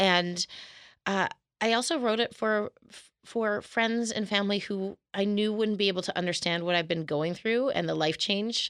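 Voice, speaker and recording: This woman has an unremarkable speaking voice with a Canadian accent, medium pitch and ordinary pitch variation. She talks at a moderate pace with very even loudness on a very clean recording with a silent background. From Canada, Calgary. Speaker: novelist and fashion publicist. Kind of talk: casual interview.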